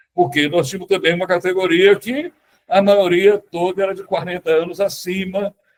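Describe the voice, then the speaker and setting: A high male voice at a moderate pace. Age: 70s. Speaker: economist and party veteran. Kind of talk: panel discussion. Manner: halting.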